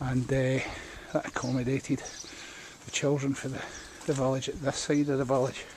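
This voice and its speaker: A man with a Scottish accent talks at a fairly quick pace with long, frequent pauses. His medium-pitched voice is monotone and flat, over noticeable background noise. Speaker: local historian and walk guide. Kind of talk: guided walk narration. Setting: outdoors, walking village streets. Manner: casual, hesitant.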